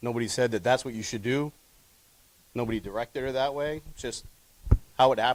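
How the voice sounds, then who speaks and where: At a very fast pace broken by long, frequent pauses, a man talks at medium pitch with fairly even intonation. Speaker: public commenter at school board meeting. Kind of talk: public comment. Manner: halting.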